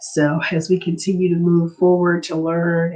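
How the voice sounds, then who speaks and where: A woman speaks at a very slow pace, fairly low in pitch and somewhat breathy. Her intonation is monotone and flat. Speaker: livestream host on home buying. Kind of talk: live stream talk. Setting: live stream.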